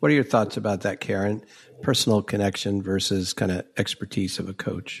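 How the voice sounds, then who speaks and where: A man with a normal speaking voice talks at a fairly quick pace. His pitch is fairly low and his intonation fairly even. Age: 60s. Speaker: bishop and podcast host. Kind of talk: casual interview conversation.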